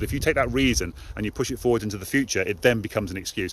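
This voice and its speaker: A man with an English accent at a very fast pace, over noticeable background noise. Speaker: motivational live streamer. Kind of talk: live stream monologue.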